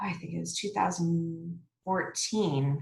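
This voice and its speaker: A woman speaks softly at a very slow pace. Her pitch sits fairly low for a woman. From Mississauga, Ontario, Canada. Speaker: restaurant co-owner. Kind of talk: podcast interview answer. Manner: soft-spoken.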